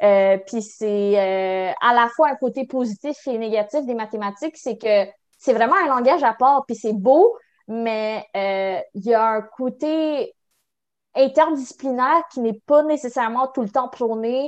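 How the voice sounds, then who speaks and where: Very slowly, a woman with a Quebec accent speaks at a high pitch with ordinary pitch variation against a quiet background. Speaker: university student. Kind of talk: interview. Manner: halting.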